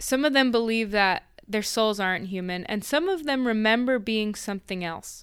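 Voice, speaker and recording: A woman's fairly high voice, a normal speaking voice, at a moderate pace with ordinary pitch variation, in a very clean recording over a silent background. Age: young. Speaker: podcast co-host. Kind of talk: casual chat.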